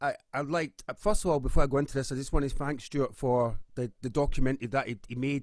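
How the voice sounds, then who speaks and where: A man talks with a Scottish accent. His intonation stays fairly even. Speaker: musician and campaigner. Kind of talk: panel discussion.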